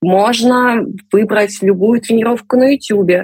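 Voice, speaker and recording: Her pace is very slow, and this woman's pitch varies in an ordinary way. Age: 30s. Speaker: amateur sports enthusiast. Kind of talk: interview. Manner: animated.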